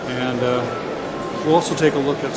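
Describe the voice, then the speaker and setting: Loud background noise runs beneath a man's voice. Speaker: hobby vlogger. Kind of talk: casual vlog chat. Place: hall. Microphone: phone near.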